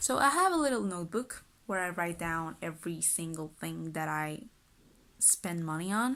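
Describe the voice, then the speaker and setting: A woman talks with a Spanish accent at a moderate pace. Her pitch sits fairly low. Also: lively intonation. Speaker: lifestyle vlogger. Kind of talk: casual vlog talk. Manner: casual, chatty.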